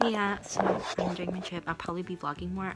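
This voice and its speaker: A woman's fairly even intonation plays out with music in the background. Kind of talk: casual vlog talk to camera.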